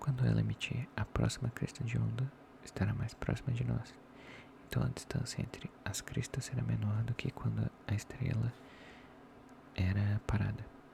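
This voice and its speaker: Noticeable background noise behind a male speaker, with a moderate pace and long, frequent pauses. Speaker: ASMR content creator. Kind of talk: ASMR soft-voice book reading. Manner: soft-spoken, relaxing, not whispered.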